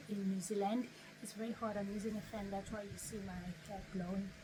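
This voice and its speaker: A woman speaks at medium pitch. Audible room echo can be heard. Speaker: YouTuber. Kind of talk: tutorial.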